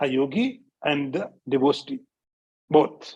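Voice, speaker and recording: In an Indian accent, a man speaks with lively intonation. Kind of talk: spiritual discourse. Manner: repetitive, emphatic teaching.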